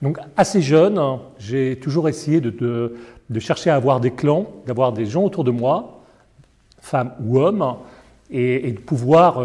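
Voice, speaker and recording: A man speaks at a fairly slow pace and a medium pitch, with ordinary pitch variation. His tone is dark and mellow, and somewhat breathy. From Paris, France. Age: 60s. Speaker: foundation director. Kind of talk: interview. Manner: hesitant, many fillers.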